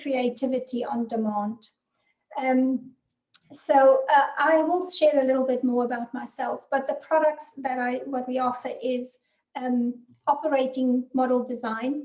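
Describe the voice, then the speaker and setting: The speaker has a South African accent. The pace is moderate and the intonation fairly even. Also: woman. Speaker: business consultant and author. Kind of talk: webinar presentation.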